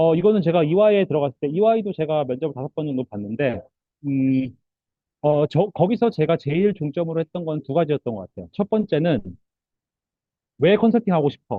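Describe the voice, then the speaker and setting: A man's fairly high voice with lively intonation, broken by long, frequent pauses. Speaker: career coach panelist. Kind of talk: webinar panel talk. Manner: fast.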